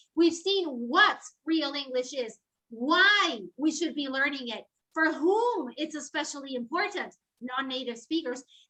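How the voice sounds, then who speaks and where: A woman speaks in a raised, projected voice at a fairly slow pace. Her pitch is high, her intonation lively, and her tone bright and sharp. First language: Spanish. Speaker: professor of English philology. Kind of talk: lecture. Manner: animated.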